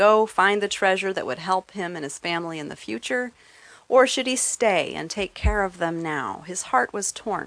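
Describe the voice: A voice reads aloud plainly. Its intonation is lively.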